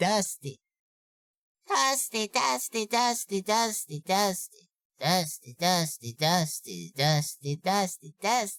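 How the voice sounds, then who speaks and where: A put-on, nasal character voice at a middle pitch and fairly slow pace. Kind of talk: head voice with some chest resonance. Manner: light, lightly pressed, demonstrating a vocal technique.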